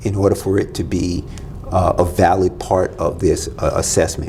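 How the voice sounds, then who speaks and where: With noticeable background noise behind him, a man talks in a very deep, low voice with an American accent. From Florida. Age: 60s. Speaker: business consultant. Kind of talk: podcast interview.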